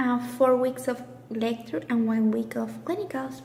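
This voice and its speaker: A woman with a high pitch is heard amid noticeable background noise and audible room echo. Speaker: nurse. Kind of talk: personal vlog.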